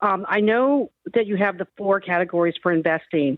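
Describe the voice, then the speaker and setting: The intonation is lively, and the speed moderate. It is an unremarkable speaking voice. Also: woman. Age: 60s. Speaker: caller. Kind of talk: call-in advice conversation. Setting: phone call.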